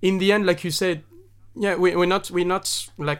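In a very clean recording with a silent background, a man with a French accent talks at a high pitch. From southern France. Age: 30s. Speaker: singer-songwriter and actor. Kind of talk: casual chat.

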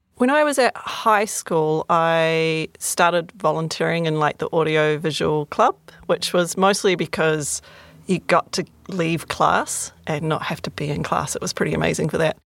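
On a very clean recording with a silent background and a dry, close sound with no echo, a woman speaks in an ordinary speaking voice, fairly low in pitch, at a moderate pace with ordinary pitch variation. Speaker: guest discussing film. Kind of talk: casual chat.

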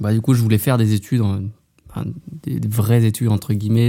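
A man's voice of medium pitch carries a dark, mellow tone and fairly even intonation. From Haute-Savoie, France. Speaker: professional trail runner. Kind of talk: interview. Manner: casual, with filler hesitations.

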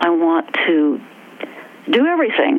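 A woman with an American accent and very wide pitch swings, over noticeable background noise. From West Virginia. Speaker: actor and performance artist. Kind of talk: casual interview conversation.

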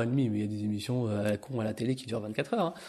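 Against a quiet background, a man talks at a medium pitch with ordinary pitch variation and a dark, mellow tone. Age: 30s. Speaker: shiatsu and energy-healing practitioner. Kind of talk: casual conversation.

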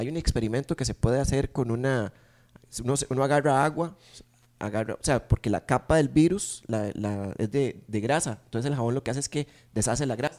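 The voice moves at a fairly quick pace with ordinary pitch variation, in a dry, close sound with no echo. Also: man, medium pitch for a man. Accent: Costa Rican. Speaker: podcast co-host. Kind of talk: casual chat.

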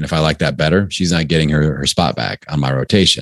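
A man speaks in a very deep, low voice with ordinary pitch variation. His tone is energetic and animated. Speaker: podcasting coach. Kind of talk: casual interview. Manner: energetic, animated.

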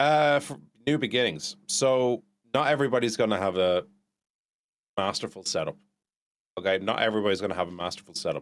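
A man with an Irish accent talks at a fairly quick pace and a medium pitch, with lively intonation. He leaves long, frequent pauses. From Ireland. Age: 30s. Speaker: video game streamer. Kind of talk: casual interview. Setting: video call. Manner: animated.

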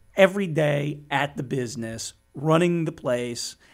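The speaker goes at a fairly slow pace with ordinary pitch variation. Music plays in the background. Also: man. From US Northeast (Bergen County, New Jersey). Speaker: litigation attorney. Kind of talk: casual interview. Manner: halting, with many fillers.

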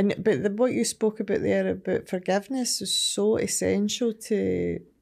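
A woman speaks with a west of Scotland accent in a dark, mellow tone at a moderate pace. The recording is very clean, with a silent background. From Scotland, Ayrshire (Ardrossan, Saltcoats). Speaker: recovery charity chief executive. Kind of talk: casual interview.

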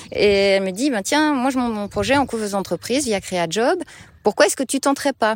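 A normal speaking voice moves at a fairly quick pace with lively intonation, captured in a very clean recording over a silent background. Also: woman, fairly high pitch for a woman. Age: 30s. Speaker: market gardener. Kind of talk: interview. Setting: outdoors in a field.

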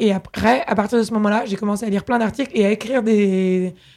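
A plain, everyday voice speaks at a moderate pace. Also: woman. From Paris, France. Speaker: startup founder and CEO. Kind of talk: interview. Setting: at her home.

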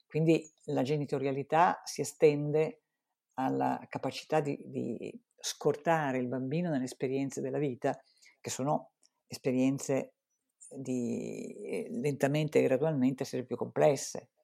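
A woman's very deep, low, dark and mellow voice with vocal fry, fairly slow with ordinary pitch variation, on a very clean recording with a silent background. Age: old. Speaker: psychologist. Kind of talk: interview.

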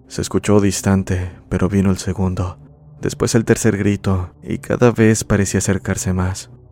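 With music in the background, a man with a fairly low voice speaks at a moderate pace and with fairly even intonation. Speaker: horror story podcast narrator. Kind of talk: ghost story telling, scripted narration of listener-submitted horror tale.

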